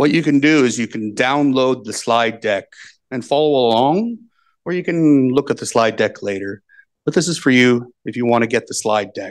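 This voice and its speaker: Over a quiet background, a man with an American accent speaks at medium pitch and a moderate pace, his pitch varying in an ordinary way. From US, Seattle. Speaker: agile coach and conference speaker. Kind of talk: conference talk. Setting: conference hall, remote with simultaneous interpretation. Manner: methodical, measured pace. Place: hall. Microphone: handheld.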